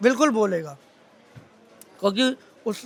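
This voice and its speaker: This man projects a raised voice. The tone comes across bright and sharp. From India, Vrindavan (Braj region). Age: 40s. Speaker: local shopkeeper. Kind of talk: street interview. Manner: animated.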